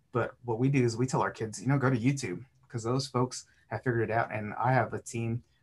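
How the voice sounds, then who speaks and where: Here a man with an American accent talks at a fairly quick pace. His voice is somewhat breathy, and his intonation stays fairly even. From South Texas. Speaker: youth development agent. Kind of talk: casual interview.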